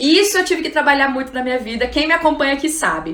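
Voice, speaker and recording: A woman speaks in an animated tone with lively intonation, over noticeable background noise and audible room echo. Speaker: psychologist and trainer giving an online class. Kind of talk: live-streamed lecture. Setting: Instagram live stream.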